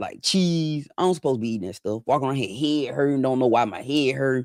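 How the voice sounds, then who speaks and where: Lively intonation from a man at medium pitch, relaxed in tone, fairly quick in pace, in a dry, close sound with no echo. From Mississippi. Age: 40s. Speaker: livestreamer. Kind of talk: casual chat. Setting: live stream reading chat. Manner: relaxed conversational.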